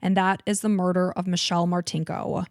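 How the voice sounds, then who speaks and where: This very clean recording with a silent background captures a woman with a slight Chicago accent speaking at a moderate pace in a dry, close sound with no echo. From Chicago suburbs, US Midwest. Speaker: true crime podcast co-host. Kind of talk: storytelling narration; casual chat.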